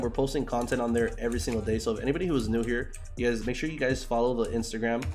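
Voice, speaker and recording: The speaker talks at a very fast pace in an animated tone. Room echo is audible. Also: man. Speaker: forex trading livestreamer. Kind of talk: live stream chat with viewers while trading. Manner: animated, casual slangy.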